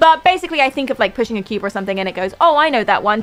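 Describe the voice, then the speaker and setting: Lively intonation marks a woman's fairly high voice at a very fast pace. Noticeable background noise is present. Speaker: gaming streamer. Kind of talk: live stream chat.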